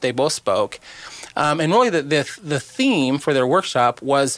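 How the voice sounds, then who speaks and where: A man's plain, everyday voice, fairly high-pitched, at a moderate pace. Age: 50s. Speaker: cancer charity co-founder. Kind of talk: casual chat.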